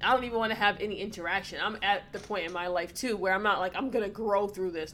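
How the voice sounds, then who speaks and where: Lively intonation at a fairly quick pace. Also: woman. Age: 30s. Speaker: podcast co-host. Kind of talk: casual chat. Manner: animated.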